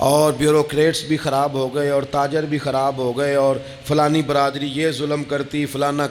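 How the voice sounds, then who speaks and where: Over noticeable background noise, a man with a fairly high pitch speaks in a monotone, flat intonation. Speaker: Islamic preacher giving a sermon. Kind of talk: religious sermon (bayan). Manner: emotional, passionate.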